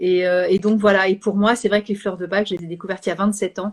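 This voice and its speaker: This woman talks at a medium pitch in a monotone, flat intonation. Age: 60s. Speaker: Bach flower practitioner and live host. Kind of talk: casual chat. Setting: Instagram live video. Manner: hesitant, many fillers.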